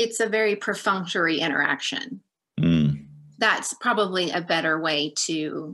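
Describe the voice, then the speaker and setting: Against a quiet background, a woman speaks with vocal fry and a bright, sharp tone. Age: 40s. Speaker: niece of a religious leader, former Jehovah's Witness family member; Witness. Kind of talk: interview. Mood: serious, reflective. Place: home room. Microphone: video call.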